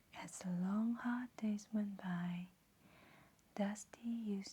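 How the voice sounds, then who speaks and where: The tone is calm. The speaker is soft-spoken. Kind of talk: soft-spoken ASMR storybook reading. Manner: soft-spoken, calm.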